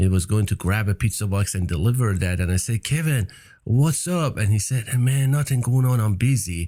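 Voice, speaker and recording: Speaking with a Persian accent, a man with a fairly low pitch and a dark, mellow, somewhat breathy tone moves at a fairly quick pace with lively intonation and very even loudness. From Iran. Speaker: entrepreneur. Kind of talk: interview.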